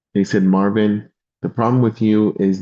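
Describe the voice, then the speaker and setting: This voice has a Spanish accent and a dark, mellow tone. It moves at a fairly quick pace with fairly even intonation. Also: man. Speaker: insurance and financial sales leader. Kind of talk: motivational talk on a live stream.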